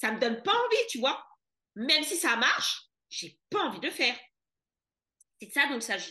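In an animated tone, a woman projects a raised voice at high pitch, swinging very widely in pitch and greatly in loudness. She keeps a moderate pace, broken by long, frequent pauses. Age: 30s. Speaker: money mentor for entrepreneurs. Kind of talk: casual chat.

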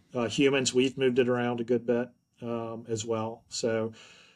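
A man with an American accent talks in a normal speaking voice at medium pitch, on a very clean recording with a silent background. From US South, upstate South Carolina. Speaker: forest entomology professor. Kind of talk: interview.

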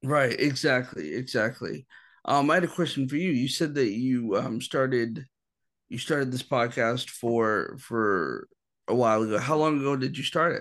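A man with a normal speaking voice at medium pitch, moderate pace and ordinary pitch variation, against a quiet background. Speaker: filmmaker. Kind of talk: casual interview.

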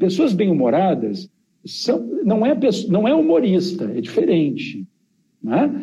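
A man pitched high for a man, at a fairly slow pace, with very wide pitch swings. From Rio Grande do Sul, southern Brazil. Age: 40s. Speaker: geographer and demographer, professor. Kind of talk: interview conversation.

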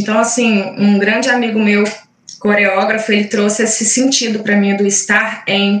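A woman speaks at a fairly slow pace. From Minas Gerais, Brazil (Caratinga). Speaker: invited speaker on spirituality. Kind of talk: talk in online group meeting. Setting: video call livestream. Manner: halting, many fillers.

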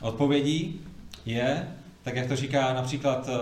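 Audible room echo carries a man's fairly high-pitched voice, delivered in a flat monotone. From Prague, Czechia. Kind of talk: church seminar talk.

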